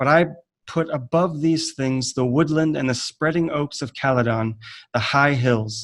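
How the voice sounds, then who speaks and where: A man with an American accent and a plain, everyday voice, fairly high in pitch, with ordinary pitch variation at a fairly slow pace. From United States. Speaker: writer and teacher. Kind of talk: conference presentation. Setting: online video call.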